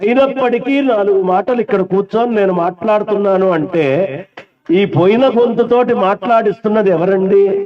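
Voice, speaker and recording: His loudness stays very even. This man's pitch is high. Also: ordinary pitch variation. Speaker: Vedic priest conducting a yajna. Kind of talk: religious discourse. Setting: seated at a ritual gathering.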